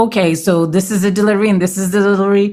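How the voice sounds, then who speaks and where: Over a noticeable level of background noise, a woman talks at a medium pitch. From Quebec, Canada. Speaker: podcast co-host. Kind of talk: casual podcast chat.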